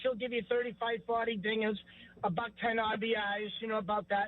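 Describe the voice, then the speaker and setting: A man talks with a Boston accent. His voice is extremely high in pitch. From New England (Salem, Massachusetts). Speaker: caller. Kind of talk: sports talk radio call.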